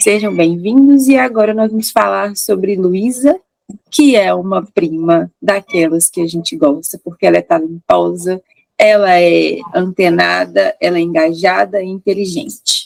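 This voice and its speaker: A woman speaks at a fairly slow pace in a dry, close recording with no echo. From Minas Gerais, Brazil. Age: 30s. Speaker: podcast co-host, lawyer. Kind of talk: casual chat.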